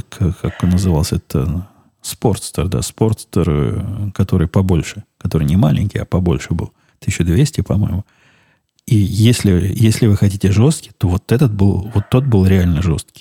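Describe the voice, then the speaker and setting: A man's very deep, low voice, dark and mellow in tone and somewhat breathy, at a moderate pace, with a dry, close sound and no echo. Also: ordinary pitch variation. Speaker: podcast host. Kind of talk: casual monologue.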